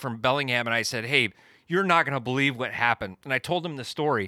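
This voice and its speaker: In a Pacific Northwest accent, a man speaks at a very fast pace with a bright, sharp tone and lively intonation, recorded very cleanly against a silent background with a dry, close sound and no echo. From US Pacific Northwest, Eastern Washington. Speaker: podcast co-host, Sasquatch researcher. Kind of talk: casual storytelling. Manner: halting, many fillers.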